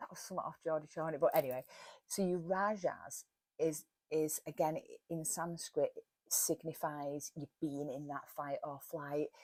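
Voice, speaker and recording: A woman with a Cheshire accent speaks at a very deep, low pitch and a moderate pace, with fairly even intonation. Her loudness swings widely, and the sound is dry and close with no echo. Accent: broad Warrington. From northern England, Warrington. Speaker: wellness podcaster. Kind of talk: casual talk.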